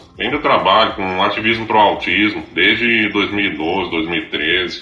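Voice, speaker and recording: Speech at a moderate pace with fairly even intonation comes through audible room echo and noticeable background noise. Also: man. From Florianópolis, Santa Catarina, Brazil. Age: 40s. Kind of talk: casual chat.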